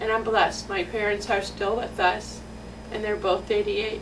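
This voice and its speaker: Noticeable background noise and audible room echo fill the recording. Through them, a woman talks with an American accent. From US Midwest, metropolitan Detroit. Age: 60s. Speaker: parent telling her story. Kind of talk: personal testimony. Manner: halting, with many restarts.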